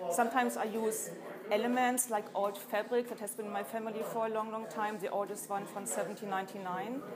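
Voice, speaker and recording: Noticeable background noise behind a woman speaking at a moderate pace. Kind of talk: interview answer. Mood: calm, reflective. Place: hall.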